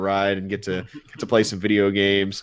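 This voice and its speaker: A man speaks at a moderate pace. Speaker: podcast host. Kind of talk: casual chat. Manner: animated.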